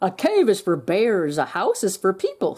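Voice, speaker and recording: A put-on character voice, female-sounding, at a middle pitch and a moderate pace. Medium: read story.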